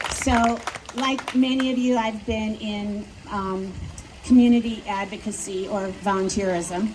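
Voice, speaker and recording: In a room with audible echo and noticeable background noise, a woman speaks fairly slowly in a fairly high, monotone voice with flat intonation. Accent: Midwestern. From US Midwest, Wisconsin. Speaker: local politician. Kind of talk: campaign speech. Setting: outdoors at plaza with audience.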